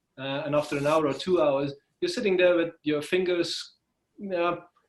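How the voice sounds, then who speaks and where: The speaker has a Belgian accent and a moderate pace. Intonation stays fairly even. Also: man. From Belgium. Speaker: freelancer. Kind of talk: interview. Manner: hesitant, many fillers.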